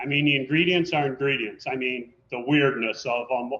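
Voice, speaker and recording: This is a man with an ordinary speaking voice. He speaks at a moderate pace in a fairly high pitch, with ordinary pitch variation. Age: 60s. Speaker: pizza restaurant owner. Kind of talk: interview.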